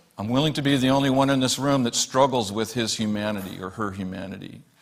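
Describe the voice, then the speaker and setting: A man with an unremarkable speaking voice talks at a fairly quick pace with fairly even intonation. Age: 60s. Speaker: guest speaker at a spiritual church service. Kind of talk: sermon.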